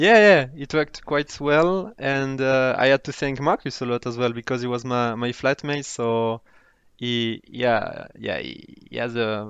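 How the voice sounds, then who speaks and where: Moderately paced speech in a French accent over a quiet background. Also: man. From France, Toulouse (southwest). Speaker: former banker. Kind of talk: casual interview chat. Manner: halting, repeats words.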